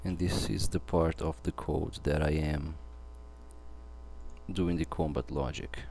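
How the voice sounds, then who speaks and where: A man's very deep, low voice with vocal fry and a dark, mellow tone, in a non-native accent, at a fairly slow pace with long, frequent pauses and ordinary pitch variation. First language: not English. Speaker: game developer. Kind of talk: live coding tutorial. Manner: halting.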